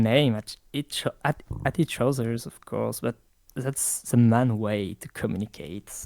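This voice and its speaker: Speaking with a French accent at a fairly slow pace, a man shows big swings in loudness. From France. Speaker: interviewee, online community member. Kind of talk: interview. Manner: halting.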